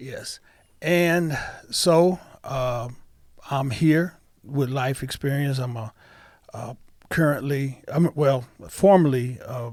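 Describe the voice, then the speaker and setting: Speaking at a very slow pace with long, frequent pauses, a man with an American accent uses a fairly high pitch, ordinary pitch variation and big swings in loudness. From Toledo, Ohio, US Midwest. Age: 60s. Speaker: pastor and retired police officer. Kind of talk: interview. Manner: halting.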